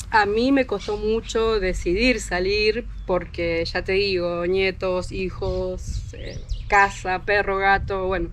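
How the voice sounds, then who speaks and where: A woman speaks at a very slow pace and medium pitch, with hardly any pauses. Her intonation is fairly even, and there is noticeable background noise. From Argentina, Buenos Aires province. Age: 40s. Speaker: motorhome traveler. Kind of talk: interview.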